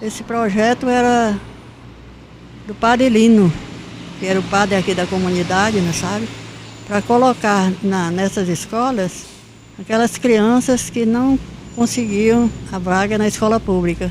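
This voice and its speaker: A woman with a medium pitch speaks at a fairly slow pace, with long, frequent pauses, fairly even intonation and noticeable background noise. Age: 80s+. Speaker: retired school principal. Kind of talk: interview, life story. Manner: halting, with repetitions.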